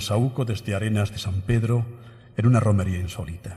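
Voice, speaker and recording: A man's fairly low, dark and mellow voice, somewhat breathy and solemn, at a fairly quick pace with fairly even intonation against a quiet background. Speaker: pregón speaker (Holy Week proclamation orator); speaker. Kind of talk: pregón oratory, solemn poetic Holy Week proclamation delivered to an audience; formal proclamation speech. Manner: solemn, rhythmic and emotive, lyrical cadence with evocative, measured pauses. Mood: solemn, emotive recollection. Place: stage. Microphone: podium.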